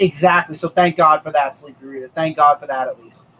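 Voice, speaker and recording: Fairly high-pitched for a man, this voice moves at a very fast pace. The recording is dry and close with no echo. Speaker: comic book reviewer. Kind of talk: live-streamed casual review chat. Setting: live stream. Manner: animated ranting.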